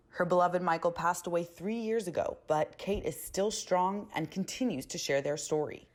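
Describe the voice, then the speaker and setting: In a very clean recording with a silent background, a woman with an unremarkable speaking voice and fairly low pitch talks at a moderate pace with ordinary pitch variation and hardly any pauses. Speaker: news reporter. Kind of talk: local TV news report narration.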